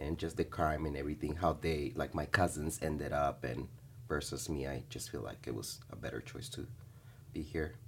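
With a very deep, low pitch and vocal fry, a man talks at a moderate pace with lively intonation. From Bolivia. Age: 30s. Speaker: teacher. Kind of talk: interview. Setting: studio.

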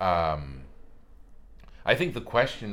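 A man speaks with a very deep, low pitch at a fairly slow pace. Room echo is audible. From Spain, Madrid. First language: Spanish. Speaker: actor. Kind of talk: casual chat.

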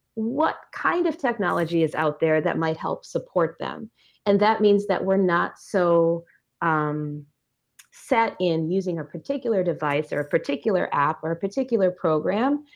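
Over a quiet background, a woman with an Upper Midwest accent speaks at a moderate pace, fairly low in pitch and with lively intonation. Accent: Upper Midwest American. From rural Minnesota. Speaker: biology teacher. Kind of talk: casual interview.

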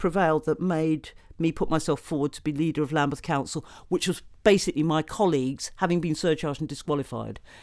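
A woman with a British accent talks at a fairly quick pace. The recording is very clean, with a silent background. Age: 60s. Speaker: political activist. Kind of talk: panel discussion.

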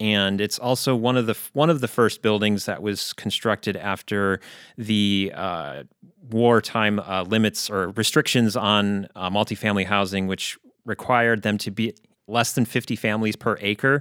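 In a very clean recording with a silent background and a dry, close sound with no echo, a man with an unremarkable speaking voice talks at a moderate pace, fairly low in pitch and with fairly even intonation. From Chicago. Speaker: historian. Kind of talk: podcast interview.

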